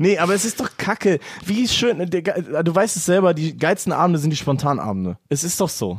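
Pitched high, a man speaks at a moderate pace with ordinary pitch variation. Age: 20s. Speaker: podcast guest. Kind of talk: casual chat.

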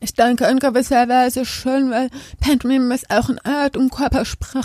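With a dry, close sound and no echo, a woman speaks at a high pitch. Her pace is moderate and her intonation monotone and flat. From Germany, village. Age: 30s. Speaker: deaf actress and dancer. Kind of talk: interview.

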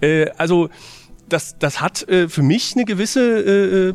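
The speaker's intonation is lively, with music in the background. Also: man. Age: 20s. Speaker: film discussion panelist. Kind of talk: casual film review discussion. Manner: halting, many filler sounds.

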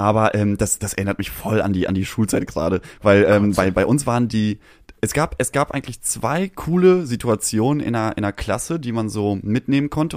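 In a very clean recording with a silent background and a dry, close sound with no echo, a man speaks at a medium pitch and a moderate pace with lively intonation. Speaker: podcast co-host. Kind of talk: casual chat. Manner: prim, proper-sounding.

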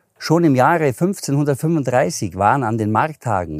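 On a very clean recording with a silent background and a dry, close sound with no echo, a man with a Swabian accent speaks with ordinary pitch variation. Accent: Allgäu Swabian dialect. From Allgäu, Bavaria (Hindelang). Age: 50s. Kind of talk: casual interview.

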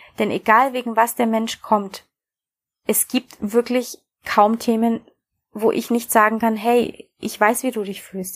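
The woman's pitch is fairly high, her intonation monotone and flat. She talks at a fairly slow pace. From Bavaria, Germany. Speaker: podcast host, coach and hypnotherapist. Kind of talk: personal introduction monologue.

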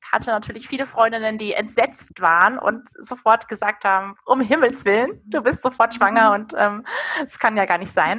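A woman's bright, sharp tone at a fairly high pitch, with ordinary pitch variation and a moderate pace. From Hesse, Darmstadt (Rhine-Main). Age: 30s. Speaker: natural family planning counselor. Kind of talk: interview.

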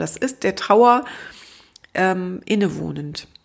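With a calm tone and vocal fry, the voice moves at a very slow pace through very wide pitch swings. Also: woman. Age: 50s. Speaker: grief counselor and podcast host. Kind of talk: solo podcast monologue. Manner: light, easygoing.

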